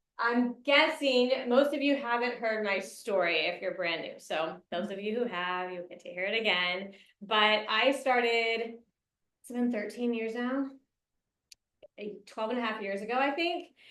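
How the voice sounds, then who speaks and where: Speaking fairly slowly in an American accent, a woman with a fairly high pitch shows big swings in loudness amid audible room echo. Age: 30s. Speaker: network marketing leader. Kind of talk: motivational talk.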